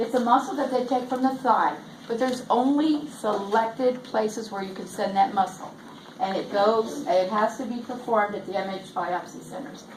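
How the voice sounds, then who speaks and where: With ordinary pitch variation, a woman talks amid noticeable background noise and audible room echo. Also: fairly high pitch for a woman. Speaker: nurse educator. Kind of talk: lecture. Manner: fast.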